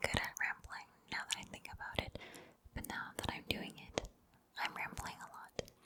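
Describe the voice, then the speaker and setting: Noticeable background noise runs through the clip. Over it, a woman whispers. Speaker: ASMR creator. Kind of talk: casual rambling book review. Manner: whispered.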